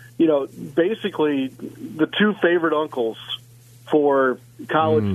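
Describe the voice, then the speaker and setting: A man with an American accent talks at a fairly slow pace in a fairly high pitch with ordinary pitch variation, a normal speaking voice. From US Midwest, St. Louis area. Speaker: sports play-by-play broadcaster. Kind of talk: radio interview.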